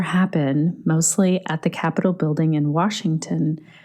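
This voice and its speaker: In a very clean recording with a silent background, a woman with a Canadian accent speaks fairly slowly at a fairly low pitch, her tone dark and mellow and her intonation fairly even. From Canada. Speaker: podcast host, yoga teacher. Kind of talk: podcast narration between interview segments.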